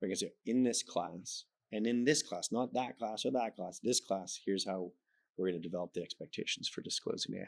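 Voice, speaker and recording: In a slight Canadian accent, the speaker moves at a fairly quick pace with ordinary pitch variation, in a dry, close sound with no echo. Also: man, fairly low pitch for a man. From Canada. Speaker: professor. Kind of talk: interview. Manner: conversational, informal.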